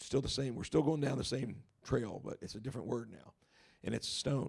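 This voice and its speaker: Fairly even intonation and vocal fry in a male voice. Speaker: Bible teacher. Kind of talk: Bible study lecture.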